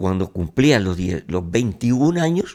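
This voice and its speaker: On a very clean recording with a silent background, a man's fairly low pitch moves in very wide swings. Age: 80s+. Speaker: grandfather guest. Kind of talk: interview answer.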